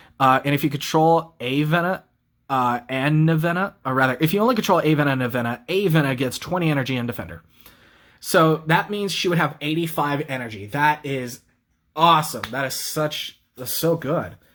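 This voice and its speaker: In a normal speaking voice, a man talks fairly quickly. He varies his pitch in an ordinary way. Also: fairly high pitch for a man. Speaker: card game YouTuber. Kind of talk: deck profile tutorial. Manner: casual, with fillers.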